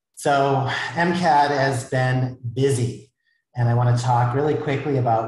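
A man at a fairly slow pace, somewhat breathy, with ordinary pitch variation, audible room echo and a quiet background. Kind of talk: event introduction remarks. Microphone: earbuds.

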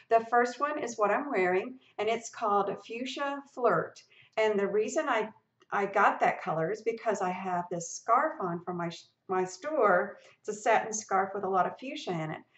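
Speaking at a moderate pace, a woman uses lively intonation and a fairly high pitch. The background is quiet, though room echo is audible. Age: 60s. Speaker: lifestyle blogger and video creator; lifestyle blogger, video creator. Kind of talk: tutorial. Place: home room. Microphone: webcam.

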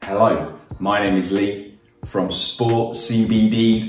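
Audible room echo and light background noise surround a man whose pitch is fairly low. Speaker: fitness trainer. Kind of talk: fitness vlog presentation. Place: kitchen.

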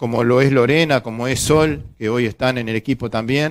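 A man's medium-pitched voice at a moderate pace, with fairly even intonation. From Uruguay. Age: 50s. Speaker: union representative on social security board; guest. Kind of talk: interview. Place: studio. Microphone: headset.

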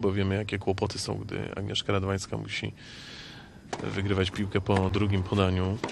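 With a Polish accent, a man with a fairly low pitch speaks at a moderate pace in an animated, enthusiastic tone. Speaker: tennis commentator. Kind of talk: live tennis commentary. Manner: animated, enthusiastic, cheering the Polish player; fluent, fairly measured, formal.

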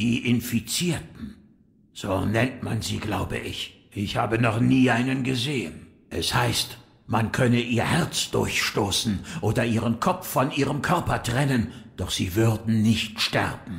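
A man speaks at a medium pitch and a fairly slow pace. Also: ordinary pitch variation. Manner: calm, sage-like.

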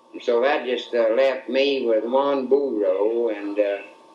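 Fairly slow speech from a man, audible room echo around it. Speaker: grandfather storyteller. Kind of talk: casual storytelling. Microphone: old recording.

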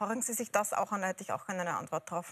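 A woman speaks with an Austrian accent in a bright, sharp tone. Her intonation stays fairly even. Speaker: TV moderator. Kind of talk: TV discussion moderation. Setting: TV studio. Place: studio.

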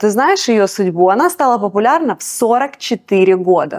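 Very slowly, a woman speaks with a fairly high pitch and lively intonation. The recording is very clean, with a silent background. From Russia. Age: middle-aged. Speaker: singer and restaurant owner. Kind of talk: interview.

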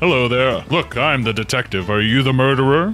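Over clear music in the background, a man performs a put-on character voice at a fairly quick pace. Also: medium pitch for a man. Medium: machinima. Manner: excitable, cheerful.

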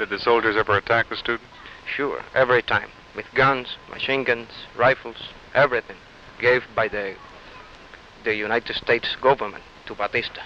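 A man with a Cuban accent at medium pitch, moderate pace, monotone and flat intonation, long, frequent pauses, a dry sound with no echo, and light background noise. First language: Spanish. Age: 20s. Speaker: Cuban exile student. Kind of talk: TV news interview answers, earnest and political. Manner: earnest, emphatic, halting English. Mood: earnest, impassioned. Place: street. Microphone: handheld.

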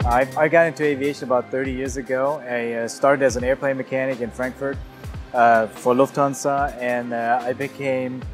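A man speaks at a fairly quick pace in a monotone, flat intonation. Clear music plays in the background. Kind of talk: interview answer. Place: garage. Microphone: lapel.

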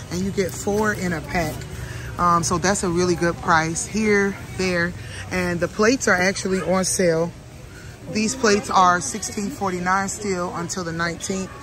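Fairly slow and fairly even in intonation, a woman talks in a dry recording with no echo while music plays clearly behind her. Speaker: vlogger. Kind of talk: casual vlog chat. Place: shop. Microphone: earbuds.

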